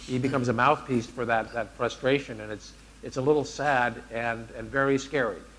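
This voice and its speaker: With an American accent, a man uses an ordinary speaking voice at a medium pitch and a moderate pace. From United States. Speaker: hotel development executive, panelist. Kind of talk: panel discussion.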